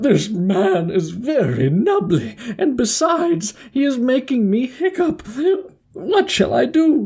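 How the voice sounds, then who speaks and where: In a put-on character voice, a woman speaks fairly slowly at a fairly high pitch, her pitch swinging very widely while her loudness stays very even. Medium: read story.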